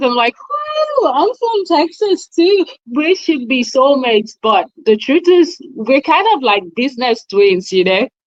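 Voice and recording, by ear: A woman's high voice with big pitch swings, at a fairly slow pace, in a dry, close sound with no echo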